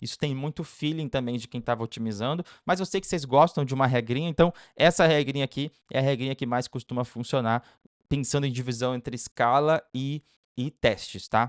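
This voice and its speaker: A man talks at a fairly quick pace with a medium pitch and ordinary pitch variation. The sound is dry and close with no echo against a quiet background. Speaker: paid ads consultant. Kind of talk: tutorial. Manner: very fast.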